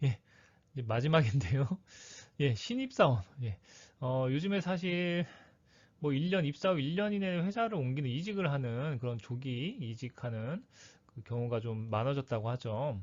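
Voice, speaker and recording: The man's voice is somewhat breathy and fairly high in pitch. He leaves long, frequent pauses. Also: lively intonation, moderate pace. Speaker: career coach / lecturer. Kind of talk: lecture.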